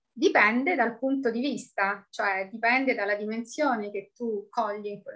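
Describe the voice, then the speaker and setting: This woman has a fairly high pitch and a bright, sharp tone, talking at a fairly slow pace with ordinary pitch variation. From Italy, Rome. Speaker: expat mother. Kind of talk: interview.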